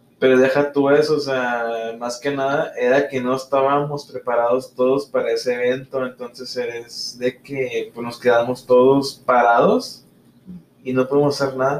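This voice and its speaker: A man speaks in a medium pitch at a fairly slow pace. His intonation stays monotone and flat. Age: 20s. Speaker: podcast co-host, dental student. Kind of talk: casual chat.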